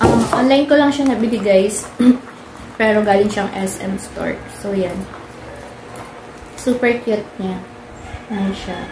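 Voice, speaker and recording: A woman's medium-pitched voice at a fairly slow pace with ordinary pitch variation and long, frequent pauses, with audible room echo and noticeable background noise. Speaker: vlogger. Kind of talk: casual vlog talk. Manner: kept quiet, not loud.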